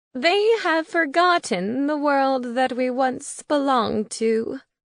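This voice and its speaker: A woman's put-on character voice, high-pitched with lively intonation, at a fairly slow pace over a quiet background. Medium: read story. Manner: cryptic, solemn.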